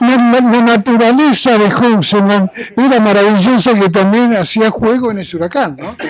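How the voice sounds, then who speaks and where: An animated tone at a moderate pace, ordinary pitch variation, and music in the background. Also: man, high pitch for a man. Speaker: sports journalist. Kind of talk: panel discussion at a book presentation, telling an anecdote. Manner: animated storytelling.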